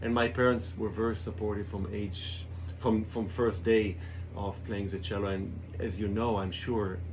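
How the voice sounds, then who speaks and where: Audible room echo surrounds a somewhat breathy voice at a moderate pace. The intonation stays fairly even. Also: man, fairly low pitch for a man. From Israel, kibbutz. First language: Hebrew. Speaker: cellist. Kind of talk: radio interview. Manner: halting.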